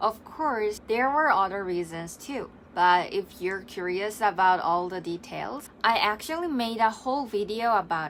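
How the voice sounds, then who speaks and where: In a Korean accent, a woman talks at a moderate pace with hardly any pauses, her intonation lively and her loudness swinging widely. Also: medium pitch for a woman. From South Korea. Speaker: English teacher and vlogger. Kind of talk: scripted vlog monologue.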